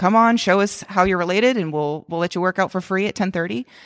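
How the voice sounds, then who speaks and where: A woman speaks with a Southern US accent at a medium pitch. The recording is very clean, with a silent background. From US South (Georgia). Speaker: gym manager and fitness coach. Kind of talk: casual conversation.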